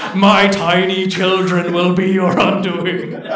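Putting on a character voice, a man speaks fairly slowly at a high pitch, with a slight echo around him. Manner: menacing.

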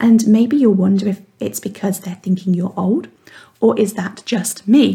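Speaking at a fairly slow pace, a woman uses a plain, everyday voice at a medium pitch with ordinary pitch variation. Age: 40s. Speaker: weight mindset coach and podcast host. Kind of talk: monologue podcast, motivational coaching talk.

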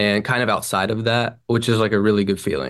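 An unremarkable speaking voice from a man, fairly low in pitch with ordinary pitch variation, over a quiet background. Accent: American. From Franklin, Tennessee (US South). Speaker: singer-songwriter. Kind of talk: casual interview. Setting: video call.

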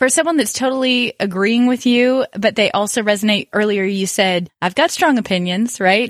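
Speaking in a normal speaking voice, a woman with a fairly high pitch keeps a moderate pace, very even loudness, ordinary pitch variation and hardly any pauses. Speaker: interviewer, friend of host. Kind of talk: casual interview.

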